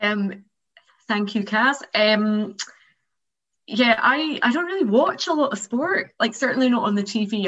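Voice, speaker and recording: A woman with an ordinary speaking voice talks at a moderate pace and a fairly high pitch. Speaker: member of the month interviewee. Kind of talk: casual interview.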